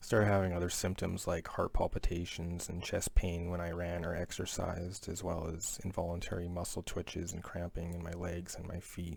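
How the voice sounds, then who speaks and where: A man with a very deep, low pitch talks at a fairly quick pace with hardly any pauses, somewhat breathy and monotone with flat intonation, on a very clean recording with a silent background. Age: 20s. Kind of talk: personal story told to camera.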